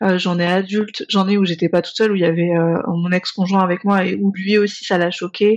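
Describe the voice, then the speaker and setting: At a fairly quick pace, a woman talks with a medium pitch and monotone, flat intonation. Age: 30s. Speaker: naturopath and sex therapist. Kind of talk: casual chat.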